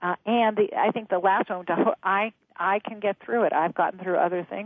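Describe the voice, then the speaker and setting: A woman in a plain, everyday voice, with ordinary pitch variation, at a moderate pace. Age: 60s. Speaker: author and change expert. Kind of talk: interview.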